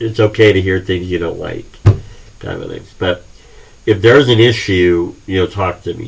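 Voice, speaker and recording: Long, frequent pauses break up a man's somewhat breathy speech, which has a fairly low pitch, fairly even intonation and a moderate pace. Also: big swings in loudness. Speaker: college history instructor. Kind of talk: recorded class introduction lecture. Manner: halting, many fillers.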